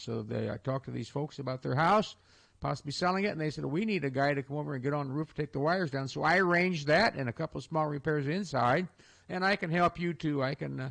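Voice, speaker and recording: This man talks very fast in a Midwestern American accent. His pitch is fairly high, with ordinary variation. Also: quiet background. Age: 70s. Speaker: radio host. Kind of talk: casual radio talk. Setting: studio. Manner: halting.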